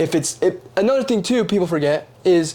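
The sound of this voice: A man talks with a high pitch and lively intonation.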